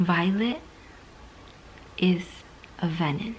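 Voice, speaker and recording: A woman is whispering. Her words come out in a hushed whisper. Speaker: book vlogger. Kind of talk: casual vlog. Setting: at home at night.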